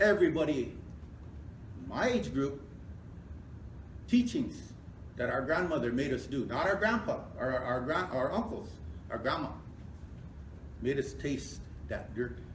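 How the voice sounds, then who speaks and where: Long pauses come often as this man speaks fairly slowly. Background noise is clearly audible throughout. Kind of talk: public hearing speech.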